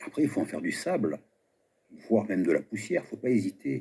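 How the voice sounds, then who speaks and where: A man's dark, mellow voice with lively intonation. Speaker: video commentator. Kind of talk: commentary monologue. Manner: slow.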